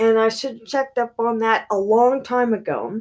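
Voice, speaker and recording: On a very clean recording with a silent background, a woman speaks loudly at a fairly high pitch. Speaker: beauty YouTuber. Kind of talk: tutorial. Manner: halting.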